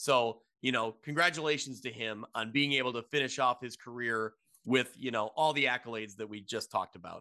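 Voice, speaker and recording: In a Midwestern US accent, the bright, sharp voice moves at a fairly quick pace, with dry, close sound, no echo and a quiet background. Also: man, medium pitch for a man, ordinary pitch variation. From Quad Cities area, Illinois/Iowa. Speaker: high school football podcast host. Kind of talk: casual sports podcast chat.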